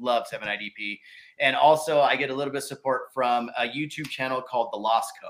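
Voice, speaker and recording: A man with an American accent has an unremarkable speaking voice at a medium pitch, with fairly even intonation and a moderate pace. The recording is very clean with a silent background. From Southern California. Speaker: mountain bike YouTuber. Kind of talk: casual chat.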